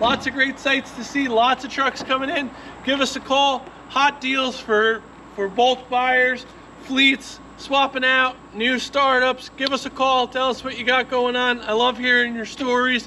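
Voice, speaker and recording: Raising and projecting his extremely high voice, a man speaks at a fairly slow pace in a flat monotone over light background noise. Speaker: truck dealer salesman. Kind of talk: sales pitch. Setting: outdoors at truck lot. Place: open country.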